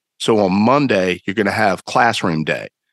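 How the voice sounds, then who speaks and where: A man with a Southern US accent speaks at a moderate pace in a fairly low voice. The sound is dry and close, with no echo. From North Carolina, Greensboro. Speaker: citizen archaeologist and blogger. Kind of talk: casual chat.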